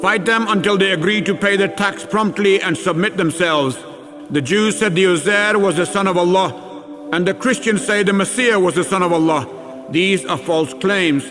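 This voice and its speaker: High-pitched man's voice with very even loudness over music in the background. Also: ordinary pitch variation, moderate pace. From Pakistan-born British. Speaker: actor. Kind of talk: scripture reading.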